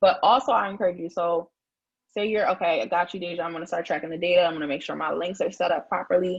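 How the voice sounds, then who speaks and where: Talking at a very fast pace, a woman shows ordinary pitch variation. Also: fairly low pitch for a woman. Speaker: publicist. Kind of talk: live stream tutorial. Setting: live stream. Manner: casual, filler-heavy.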